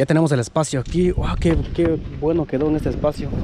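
The sound is dry with no echo. A man speaks over noticeable background noise. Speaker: vlog narrator. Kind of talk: casual vlog chat. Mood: cheerful, excited about find. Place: street. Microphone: phone near.

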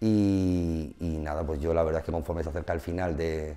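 This man's pitch is very deep and low. His pitch variation is ordinary. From Murcia, Spain; Spain. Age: 40s. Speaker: futsal referee. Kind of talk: interview. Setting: studio. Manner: halting, many repetitions and fillers. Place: studio.

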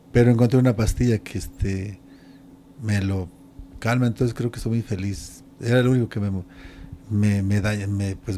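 Dark and mellow in tone, a man speaks at a moderate pace in a fairly low pitch with fairly even intonation, over light background noise. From Mexico. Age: 60s. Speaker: retired pro wrestler; interviewee. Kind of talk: interview. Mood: reflective, warm. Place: home room. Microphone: handheld.

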